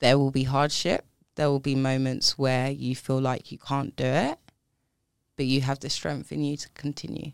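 With a South East London accent, a woman speaks in a very deep, low voice. Her pace is moderate and her intonation monotone and flat. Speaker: banking professional and diversity advocate. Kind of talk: casual interview chat.

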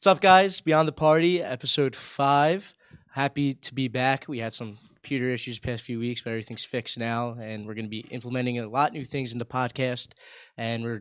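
Dry and close with no echo, this very clean recording with a silent background carries an ordinary speaking voice at a moderate pace with ordinary pitch variation. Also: man. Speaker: podcast host. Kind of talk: casual interview chat.

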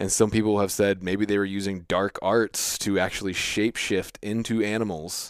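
A man talks at a moderate pace with hardly any pauses. His fairly low voice stays monotone and flat. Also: very clean recording, silent background. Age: 30s. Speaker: hunting podcast host. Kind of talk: casual chat.

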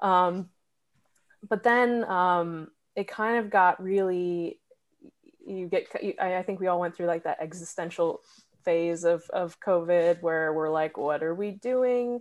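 A woman with an American accent speaks at a fairly slow pace, medium pitch and ordinary pitch variation. Long, frequent pauses break up her speech against a quiet background. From New Hampshire, US. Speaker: doctoral music student and conductor. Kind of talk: casual interview.

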